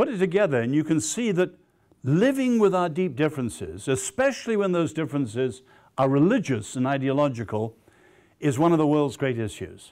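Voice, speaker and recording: Heard on a very clean recording with a silent background, a man with an English accent talks at a fairly quick pace in a fairly high voice with very wide pitch swings. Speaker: lecturer, social scientist. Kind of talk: lecture. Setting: stage with audience.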